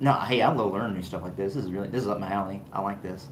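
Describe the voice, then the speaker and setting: Animated and fairly low-pitched, a man races along at a very fast pace amid audible room echo. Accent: American. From US South. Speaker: fragrance reviewer, channel owner. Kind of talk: livestream chat with viewers.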